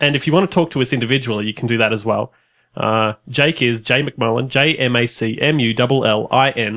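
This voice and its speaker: Speaking with an Australian accent, a man talks at a medium pitch with ordinary pitch variation. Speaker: podcast host. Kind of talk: casual interview.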